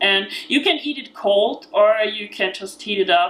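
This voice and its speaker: A woman's medium-pitched voice with an Austrian accent, at a very slow pace, against noticeable background noise. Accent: Austrian, still noticeable. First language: German. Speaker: vegan cookbook author. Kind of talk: cooking tutorial. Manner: halting, many fillers.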